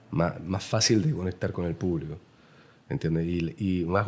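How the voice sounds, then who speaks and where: With a Chilean accent, the speaker keeps a moderate pace and ordinary pitch variation. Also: man. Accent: Chilean, noticeable. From Chile, Santiago. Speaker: painter. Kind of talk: interview conversation. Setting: artist's studio. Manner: halting, many fillers.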